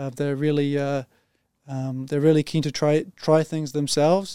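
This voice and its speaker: With a New Zealand accent, a man speaks in a fairly high, dark, mellow voice with flat, monotone intonation, in a dry, close sound with no echo on a very clean recording with a silent background. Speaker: engineering team leader. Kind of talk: podcast interview.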